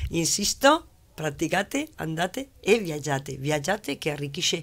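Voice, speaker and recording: With a Spanish accent, a woman speaks at a fairly slow pace in a very deep, low pitch, her loudness swinging widely, on a very clean recording with a silent background. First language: Spanish (speaking Italian). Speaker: business owner, labour consultant. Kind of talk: studio interview. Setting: TV studio.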